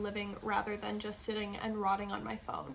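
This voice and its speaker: Noticeable background noise is heard behind a woman's speech. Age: 20s. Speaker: lifestyle YouTuber and life coach. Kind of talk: casual talk to camera.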